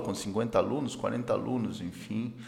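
In a room with audible echo, a man with a slight non-native accent speaks fairly slowly at medium pitch. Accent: slight foreign accent in Portuguese. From Peru, Andes. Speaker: economist and educator. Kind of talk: casual interview.

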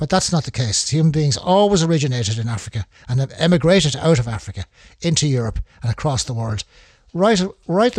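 A man speaks very fast in a somewhat breathy voice at a fairly high pitch, with very wide pitch swings and a dry, close sound with no echo. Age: 70s. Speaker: amateur history enthusiast. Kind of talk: solo talk. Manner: halting.

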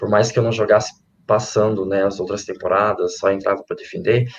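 A man's somewhat breathy voice at a very fast pace. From Minas Gerais, Brazil. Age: 20s. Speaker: volleyball player. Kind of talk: interview.

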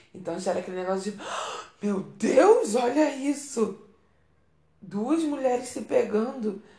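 A woman speaks in an animated tone at a fairly slow pace, her pitch swinging very widely. Noticeable background noise and audible room echo surround her. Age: 30s. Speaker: podcast host. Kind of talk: casual monologue.

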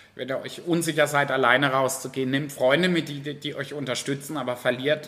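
A man talks at a moderate pace with a medium pitch and ordinary pitch variation. He has a plain, everyday voice. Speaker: drag queen entertainer. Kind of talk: interview. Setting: bar.

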